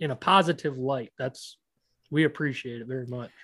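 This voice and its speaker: At a moderate pace, a man with an American accent and an unremarkable speaking voice talks with fairly even intonation. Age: 30s. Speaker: podcast host, predator hunter. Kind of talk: casual interview.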